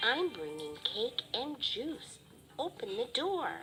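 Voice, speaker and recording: Over clear background noise, a put-on character voice speaks at a very slow pace. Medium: read story. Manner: sly, wheedling.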